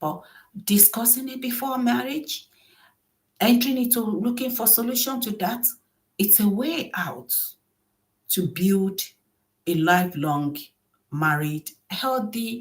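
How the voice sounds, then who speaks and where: The voice is somewhat breathy, with very wide pitch swings and long, frequent pauses. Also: woman. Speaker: relationship and marriage vlogger. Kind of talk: advice monologue.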